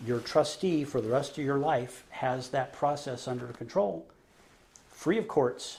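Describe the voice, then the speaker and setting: Somewhat breathy, a man at medium pitch talks at a fairly slow pace with lively intonation. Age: 50s. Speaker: trust officer. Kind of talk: interview.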